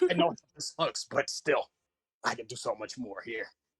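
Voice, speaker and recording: Putting on a character voice, a man speaks at a moderate pace in a smug tone. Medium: actual play. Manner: smug, chuckling.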